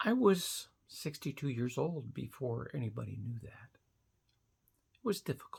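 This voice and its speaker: Speaking at a moderate pace, a woman leaves long, frequent pauses, and her loudness swings widely. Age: 60s. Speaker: vlogger. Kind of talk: casual monologue to camera.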